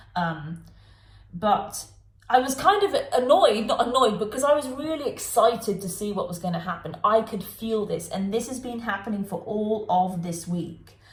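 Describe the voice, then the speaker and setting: Amid noticeable background noise and audible room echo, a woman with a fairly high pitch speaks in an animated tone, with lively intonation and big swings in loudness. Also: moderate pace. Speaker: tarot reader. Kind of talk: tarot reading monologue.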